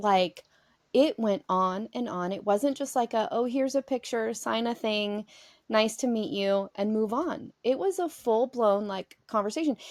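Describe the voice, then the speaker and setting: A woman's fairly high, animated voice with a slight Southern US accent, ordinary pitch variation and a fairly slow pace, in dry, close sound with no echo. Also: very clean recording, silent background. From US South (Georgia, for a time). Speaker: podcast host. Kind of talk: casual chat.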